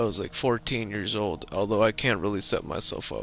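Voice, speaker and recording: A man's fairly low voice at a moderate pace, with fairly even intonation and music in the background. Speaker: gaming streamer. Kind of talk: casual chat. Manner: rambling, halting with restarts.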